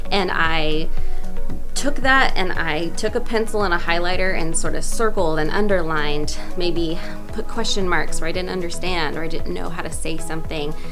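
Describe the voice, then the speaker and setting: Music plays behind a woman with a fairly low voice. She talks at a moderate pace with ordinary pitch variation. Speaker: voice actor. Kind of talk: interview answer.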